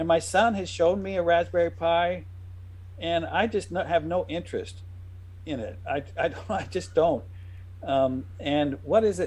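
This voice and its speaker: Very wide pitch swings from a medium-pitched man with vocal fry at a fairly slow pace. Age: 60s. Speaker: software developer, retro game creator. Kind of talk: casual chat. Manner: halting.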